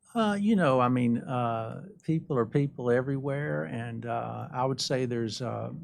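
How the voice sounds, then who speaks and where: A man in an Alabama accent, medium pitch and lively intonation, at a moderate pace with hardly any pauses. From Alabama, US South (Birmingham). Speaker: credit union executive. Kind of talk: interview. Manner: polite, gracious.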